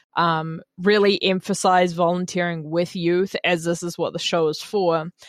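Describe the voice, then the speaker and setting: A woman speaks in a New Zealand accent at a fairly low pitch and fairly slow pace. The sound is dry and close with no echo, on a very clean recording with a silent background. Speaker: radio host. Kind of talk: radio show hosting, casual chat. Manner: animated on air, deliberately amped up.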